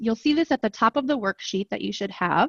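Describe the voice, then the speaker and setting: A woman with an American accent speaks in an unremarkable speaking voice, her fairly high pitch carried by lively intonation in a dry, close sound with no echo. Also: quiet background. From rural US. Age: 30s. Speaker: professor. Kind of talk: workshop instruction.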